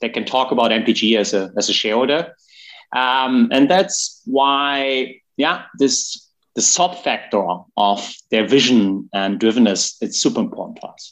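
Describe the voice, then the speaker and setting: A man with a German accent speaks at a fairly slow pace in a medium pitch, his intonation lively against a quiet background. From Germany. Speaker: gaming company executive. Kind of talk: interview.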